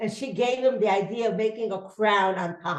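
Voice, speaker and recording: Audible room echo surrounds a woman talking at a moderate pace, her fairly high pitch showing ordinary variation. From Russia. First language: Yiddish. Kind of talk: testimony.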